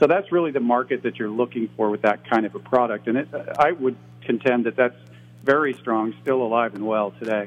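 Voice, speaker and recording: An unremarkable speaking voice from a man, medium-pitched, at a fairly quick pace with ordinary pitch variation. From US Midwest. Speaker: toy company executive. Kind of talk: interview.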